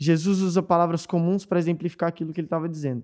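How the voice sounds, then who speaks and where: A man's high-pitched voice with a dark, mellow tone. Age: 20s. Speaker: worship leader, pastor's son. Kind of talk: casual chat.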